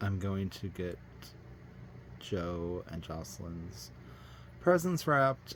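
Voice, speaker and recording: With music in the background, a man with an American accent and a fairly low pitch speaks at a very slow pace. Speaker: doll collector YouTuber. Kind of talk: casual vlog. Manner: hesitant, many fillers.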